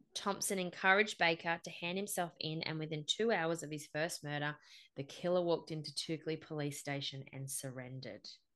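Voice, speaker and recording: Over a quiet background, a woman with an Australian accent speaks in a serious tone at a fairly low pitch. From Central Coast, NSW, Australia. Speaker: podcast host. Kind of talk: true-crime narration of a massacre, mixed with casual banter. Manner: measured, serious storyteller, grim and matter-of-fact.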